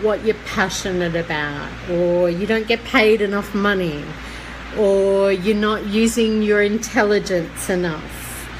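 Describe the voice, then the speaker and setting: Speech comes at a very slow pace with fairly even intonation and very even loudness, over audible room echo and noticeable background noise. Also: woman. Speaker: psychic medium. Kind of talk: live stream guidance talk. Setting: live online video stream.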